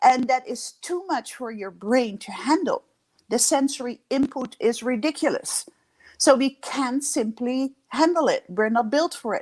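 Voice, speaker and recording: The speaker has a Dutch accent and lively intonation. The pace is fairly slow. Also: woman, high pitch for a woman. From Netherlands. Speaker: leadership coach. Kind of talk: interview.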